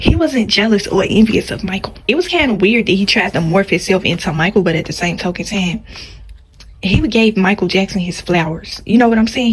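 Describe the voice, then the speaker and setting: A woman with a medium-pitched voice talks at a fairly quick pace with ordinary pitch variation. Noticeable background noise is present. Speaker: YouTuber. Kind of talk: casual vlog monologue. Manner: soft-spoken.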